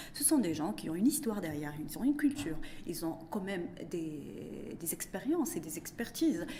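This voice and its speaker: A woman's fairly low voice at a moderate pace, with very wide pitch swings, big swings in loudness and audible room echo. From Morocco. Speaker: economist and business consultant. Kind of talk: interview. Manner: halting.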